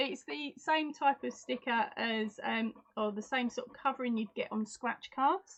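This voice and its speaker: A woman's high-pitched voice at a fairly slow pace, with ordinary pitch variation and hardly any pauses. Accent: Essex. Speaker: crochet YouTuber. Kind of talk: live stream chat with viewers. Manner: animated.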